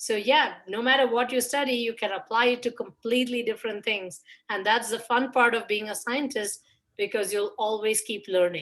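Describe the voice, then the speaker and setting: Pitched fairly high, a woman's voice carries fairly even intonation. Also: moderate pace. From India. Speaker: microbiologist. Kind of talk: Q&A talk for children.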